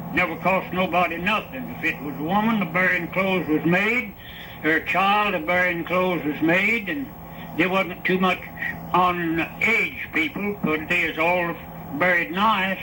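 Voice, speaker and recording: A man with a Southern Appalachian accent speaks at a high pitch and a moderate pace, with fairly even intonation, against noticeable background noise. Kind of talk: interview answer. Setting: old archival recording.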